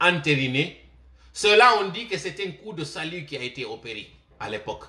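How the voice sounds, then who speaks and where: A man speaks in a bright, sharp tone. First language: Malinke (Manding) (speaking French). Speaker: political commentator. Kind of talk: political commentary monologue. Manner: impassioned direct address.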